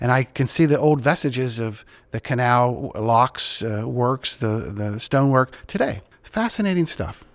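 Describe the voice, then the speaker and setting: Using an ordinary speaking voice, a man with an American accent talks at a fairly slow pace, his medium pitch showing ordinary variation. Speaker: podcast host. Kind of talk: interview.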